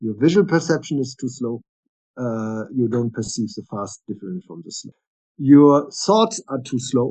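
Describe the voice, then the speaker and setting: A man speaks in a normal speaking voice at a medium pitch and a fairly slow pace. His intonation is lively, with big swings in loudness. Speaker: neuroscientist and psychiatrist. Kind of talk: interview, explaining science.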